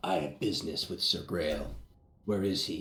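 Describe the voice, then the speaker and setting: Someone does a raspy, put-on character voice at a moderate pace, with audible echo in the recording. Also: man. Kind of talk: stiff, formal. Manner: put-on, affected voice.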